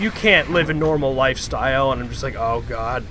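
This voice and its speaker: A man talks at a moderate pace. Noticeable background noise runs under his voice. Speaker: gaming streamer. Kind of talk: casual chat. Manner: vocal tics.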